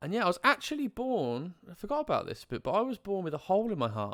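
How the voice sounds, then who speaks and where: Spoken in a West Midlands accent, the voice swings very widely in pitch. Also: man. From English Midlands, Coleshill. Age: 20s. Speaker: live streamer and life coach. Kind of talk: casual live stream chat, personal life story. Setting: live stream with chat. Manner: halting, many fillers.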